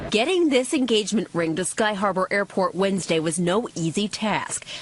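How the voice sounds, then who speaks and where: Lively intonation comes through at a moderate pace against noticeable background noise. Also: woman, medium pitch for a woman. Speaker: TV news reporter. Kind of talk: news report. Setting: airport.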